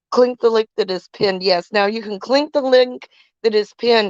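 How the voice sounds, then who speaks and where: Over a quiet background, a woman talks at a moderate pace with lively intonation in an unremarkable speaking voice, the sound dry and close with no echo. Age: 60s. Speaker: live stream co-host. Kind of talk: casual live stream chat.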